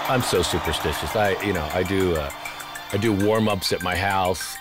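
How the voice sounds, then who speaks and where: A man speaks at a fairly slow pace with a very deep, low pitch and fairly even intonation. Clear music plays in the background. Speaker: arena public address announcer. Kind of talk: interview answer, casual talk about the job. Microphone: headset.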